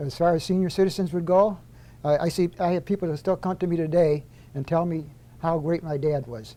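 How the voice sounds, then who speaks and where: A man with an upstate New York accent, high-pitched for a male, dark and mellow in tone, at a fairly quick pace with ordinary pitch variation. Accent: upstate New York American. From US Northeast, upstate New York (Auburn). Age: 70s. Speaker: retired corrections official. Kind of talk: casual interview.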